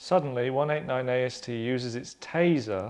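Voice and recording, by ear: A moderate pace and a slightly mellow tone. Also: man.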